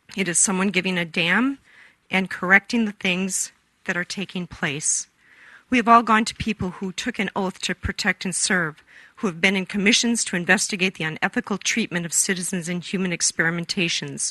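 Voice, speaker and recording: Speaking at a fairly quick pace with an American accent, a woman uses a medium pitch, fairly even intonation and a bright, sharp tone, recorded dry and close with no echo over a quiet background. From USA. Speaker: member of the public testifying. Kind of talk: public testimony, read statement. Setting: public forum before a commission. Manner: impassioned.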